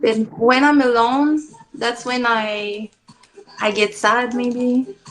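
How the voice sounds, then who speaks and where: A woman speaks in a French accent at a very slow pace. Her high voice keeps a fairly even intonation. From Quebec. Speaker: interviewee. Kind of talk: interview. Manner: halting.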